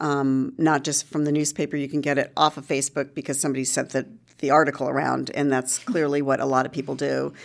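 Very fast and monotone, a woman talks at a very deep, low pitch with vocal fry and a flat intonation. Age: 50s. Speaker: journalist and entrepreneur. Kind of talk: interview. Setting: office.

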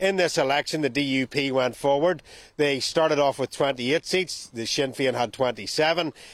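A man with a Northern Irish accent speaks at a moderate pace in a fairly high voice, with ordinary pitch variation and a dry, close sound that has no echo. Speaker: reporter. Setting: remote link.

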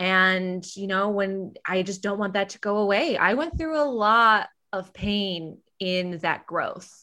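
A woman with an American accent speaks at a very slow pace and medium pitch, with ordinary pitch variation. Her tone is bright and sharp, on a very clean recording with a silent background. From US Midwest. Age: 30s. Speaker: podcast host and casting director. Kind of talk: casual chat.

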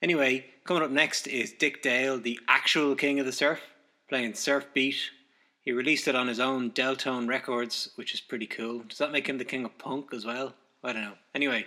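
A man talks at a fairly quick pace in an unremarkable speaking voice of medium pitch. The recording is very clean, with a silent background. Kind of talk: radio DJ patter introducing records. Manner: casual, upbeat, rapid song-to-song intros with dry asides and laughs; chatty, joking, self-deprecating music-nerd banter.

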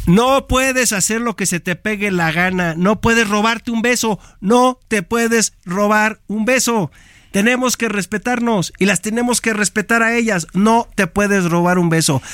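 A man's high-pitched voice at a fairly slow pace, with ordinary pitch variation, a dry, close sound with no echo, and a very clean recording against a silent background. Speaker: sports analyst. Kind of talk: studio commentary. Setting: radio studio.

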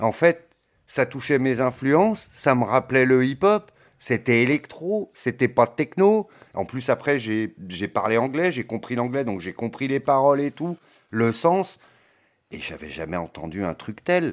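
Very wide pitch swings at a fairly slow pace. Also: man, medium pitch for a man. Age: 40s. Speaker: DJ. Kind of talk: casual interview. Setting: home studio. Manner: halting.

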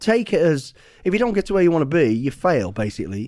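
A man with a fairly high voice and a dark, mellow tone talks at a moderate pace on a very clean recording with a silent background. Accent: English Midlands. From English Midlands. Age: 50s. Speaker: former special forces soldier and author. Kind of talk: casual interview.

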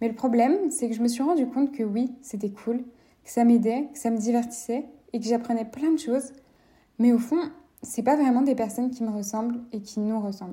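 Dark and mellow, the tone stays consistent throughout. Its pitch rises and falls in an ordinary way. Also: woman, high pitch for a woman, moderate pace. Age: 20s. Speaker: podcast host. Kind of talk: casual monologue.

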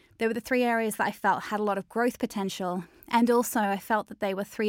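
A woman with an Australian accent talks at a very fast pace in a dry, close sound with no echo, on a very clean recording with a silent background. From Australia, Melbourne. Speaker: digital marketing agency founder. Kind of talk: interview.

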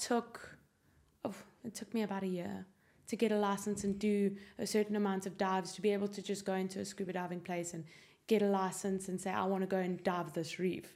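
At a fairly quick pace, a woman with a South African accent speaks at medium pitch in a monotone, flat intonation. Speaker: guest, prospective space tourist. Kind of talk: casual interview.

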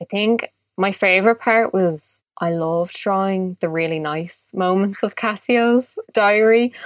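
A woman with a Dublin accent talks at a fairly slow pace with hardly any pauses, her medium pitch showing ordinary variation. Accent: Dublin Irish. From Ireland (Dublin). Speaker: illustrator. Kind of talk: casual interview.

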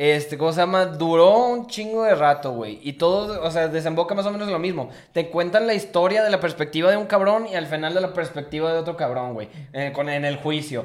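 Over noticeable background noise, a man with a high voice talks at a fairly quick pace with ordinary pitch variation. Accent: Mexican. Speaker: podcast co-host. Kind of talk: casual chat.

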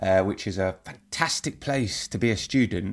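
Over a very clean recording with a silent background, a man with a London accent speaks at a moderate pace with ordinary pitch variation. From London, England. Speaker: football TV presenter. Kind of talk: interview.

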